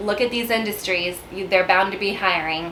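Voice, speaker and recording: A woman with a Texan accent speaks at medium pitch and a moderate pace, with ordinary pitch variation and noticeable background noise. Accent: Texan American English. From San Antonio, Texas. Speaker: realtor. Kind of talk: casual talk to camera.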